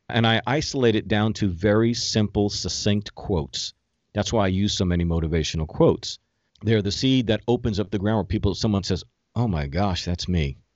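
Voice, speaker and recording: A fairly quick pace in an ordinary speaking voice, pitch varying in an ordinary way. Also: man, fairly low pitch for a man. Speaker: motivational speaker and life coach. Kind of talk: interview, conversational.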